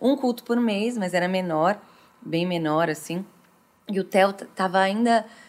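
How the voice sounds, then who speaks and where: The woman speaks at a medium pitch with ordinary pitch variation. Her pace is fairly slow, with long, frequent pauses. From Brazil, interior of São Paulo state (Franca). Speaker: worship singer. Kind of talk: casual chat.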